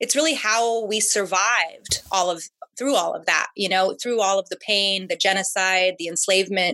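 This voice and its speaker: A woman with an American accent has a bright, sharp tone and medium pitch. She speaks at a moderate pace with ordinary pitch variation. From Southern California. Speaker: curanderismo practitioner and herbalist. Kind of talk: interview conversation.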